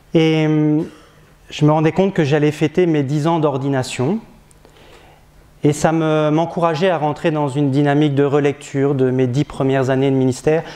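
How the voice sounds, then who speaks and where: A man's fairly high-pitched, dark, mellow voice at a moderate pace, with very even loudness, fairly even intonation and long, frequent pauses. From northern France, Picardy. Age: 40s. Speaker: parish priest. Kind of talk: testimony. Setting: diocesan gathering before an audience. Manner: hesitant, many filler sounds.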